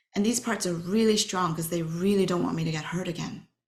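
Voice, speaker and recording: Somewhat breathy and fairly low in pitch, a woman with a Chinese accent speaks in fairly even intonation. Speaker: workshop facilitator. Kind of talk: webinar talk.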